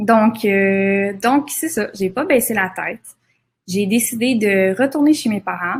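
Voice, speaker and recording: A woman's fairly high, somewhat breathy voice moves at a very slow pace with ordinary pitch variation. The recording is very clean, with a silent background. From Quebec, Laurentides. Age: 20s. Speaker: photographer. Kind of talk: seminar presentation. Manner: hesitant, many fillers.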